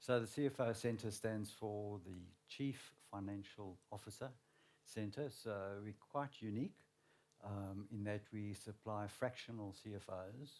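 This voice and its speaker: With a South African accent, a man speaks at a fairly low pitch and a fairly slow pace, his intonation fairly even. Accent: South African, flat. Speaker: learning and development manager. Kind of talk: panel discussion.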